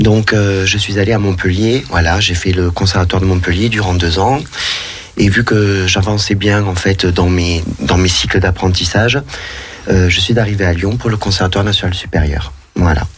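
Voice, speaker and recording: A man with a very deep, low pitch speaks at a moderate pace with very even loudness and fairly even intonation. Noticeable background noise and audible room echo fill the recording. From southern France, Narbonne. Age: 30s. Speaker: professional dancer. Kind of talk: radio interview.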